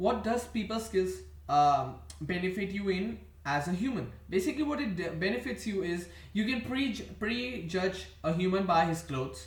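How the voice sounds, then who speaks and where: The speaker has an Indian accent and lively intonation at a moderate pace. Noticeable background noise and audible room echo are present. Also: man, high pitch for a man. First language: an Indian language. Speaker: vlogger. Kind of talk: casual monologue. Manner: halting.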